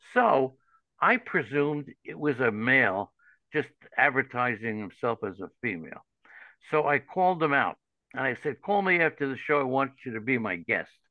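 This man talks at medium pitch with a New York accent. His pace is moderate and his intonation lively. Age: 70s. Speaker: fantasy baseball analyst. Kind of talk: interview. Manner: animated.

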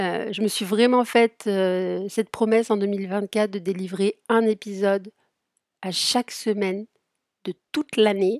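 A woman's medium-pitched voice, fairly even in intonation and fairly slow in pace, in a dry, close sound with no echo. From Saint-Étienne, France. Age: 30s. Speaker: sophrologist and therapist podcaster. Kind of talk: casual solo podcast monologue. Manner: spontaneous, hesitant with fillers.

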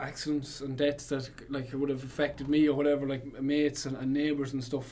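A man speaks with a strong Irish Midlands accent. His pitch is fairly high. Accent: Irish Midlands with Cavan touch, strong. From Longford, Ireland. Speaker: band member musician. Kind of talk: casual interview chat. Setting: radio studio.

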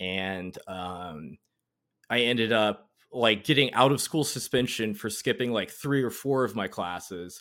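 A man with an American accent speaks at a fairly slow pace in a fairly low voice with lively intonation. He has a plain, everyday voice, on a very clean recording with a silent background. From North Carolina. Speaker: Marine veteran, former counter-intelligence. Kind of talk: casual interview chat.

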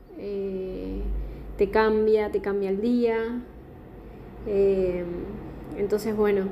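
A woman's voice with ordinary pitch variation, amid noticeable background noise. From southern Patagonia, Argentina (Chubut). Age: 20s. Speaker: podcast contributor sending a voice message. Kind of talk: recorded voice testimony.

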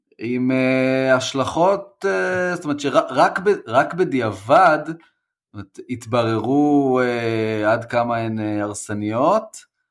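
A man's medium-pitched voice moves with lively intonation. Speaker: podcast co-host. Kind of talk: casual chat. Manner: halting, many fillers.

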